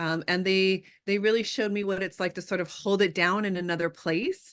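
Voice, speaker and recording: A woman with a Californian accent, fairly quick and monotone with flat intonation, against a quiet background. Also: medium pitch for a woman. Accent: California twang. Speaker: artist, scholar and activist. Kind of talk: interview conversation. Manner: frequent filler ums.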